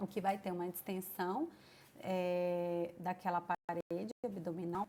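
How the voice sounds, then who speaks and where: A woman's dark, mellow tone at a very slow pace, with fairly even intonation and a dry, close sound with no echo. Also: medium pitch for a woman. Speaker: nursing teacher. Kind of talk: lecture. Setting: online class.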